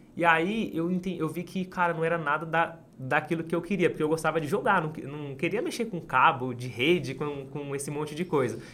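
A man speaks with a bright, sharp tone at a fairly high pitch. His pace is fairly quick and his pitch variation ordinary. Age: 20s. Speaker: street vendor and entrepreneur. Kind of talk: interview storytelling.

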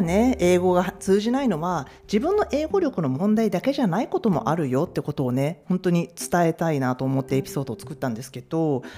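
A fairly quick pace with hardly any pauses. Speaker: podcast host. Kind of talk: casual chat. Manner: relaxed, laughing.

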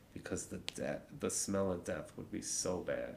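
In a Chicago accent, a man talks with a dark, mellow tone. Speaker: podcast co-host or guest. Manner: casual, conversational storyteller.

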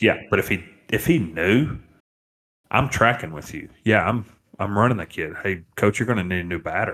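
A man's normal speaking voice, fairly low-pitched, at a moderate pace with lively intonation. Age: 30s. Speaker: umpire and podcast co-host. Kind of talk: casual chat.

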